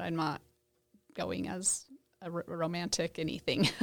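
A woman with an American accent speaks in a fairly low voice with vocal fry, on a very clean recording with a silent background. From Idaho, US. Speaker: church member sharing faith story. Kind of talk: casual interview, faith testimony.

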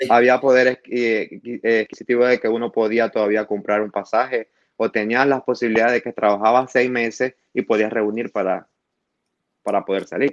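The man's delivery is monotone and flat, heard in a dry, close sound with no echo. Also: medium pitch for a man, moderate pace. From Venezuela, Maracaibo (Zulia). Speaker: asylum-seeking immigrant. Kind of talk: interview testimony.

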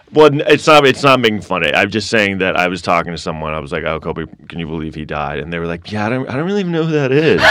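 With an American accent, a man talks very fast in a very deep, low voice, with hardly any pauses and very wide pitch swings. Noticeable background noise runs underneath. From New York City (Manhattan). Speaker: stand-up comedian. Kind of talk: casual chat.

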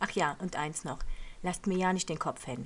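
This woman talks at a medium pitch. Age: 40s. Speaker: podcast host living with lupus. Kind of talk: monologue podcast trailer. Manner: casual with frequent hesitations.

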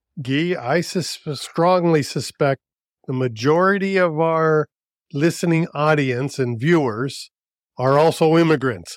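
This man has a plain, everyday voice, fairly high in pitch, with ordinary pitch variation and very even loudness. He talks at a fairly slow pace on a very clean recording with a silent background. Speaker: podcast co-host. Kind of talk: podcast interview.

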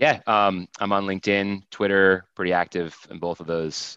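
Fairly slow, fairly even speech from a man with an American accent and a bright, sharp tone. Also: dry, close sound with no echo, quiet background. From US Northeast (Vermont). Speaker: tech sales executive. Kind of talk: interview conversation. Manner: halting, many fillers.

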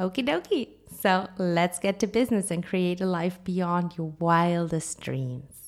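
This woman has a fairly low pitch and an ordinary speaking voice. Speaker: life coach and yoga teacher. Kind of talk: guided meditation. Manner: calm, dreamy, with long pauses.

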